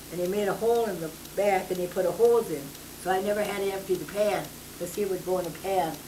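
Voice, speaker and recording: Over noticeable background noise, a woman talks at a very fast pace with fairly even intonation. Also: medium pitch for a woman. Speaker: grandmother telling her life story. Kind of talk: interview answer.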